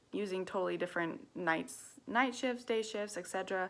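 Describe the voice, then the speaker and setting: A woman speaks at medium pitch and a fairly quick pace, with a bright, sharp tone. The recording is very clean, with a silent background. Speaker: student. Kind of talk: class assignment video monologue. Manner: fast; animated.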